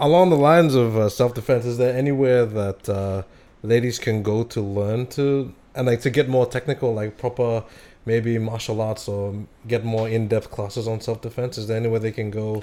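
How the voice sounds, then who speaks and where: Recorded very cleanly against a silent background, a man speaks at a moderate pace with a dark, mellow tone, medium pitch and fairly even intonation. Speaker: podcast host. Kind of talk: casual interview chat.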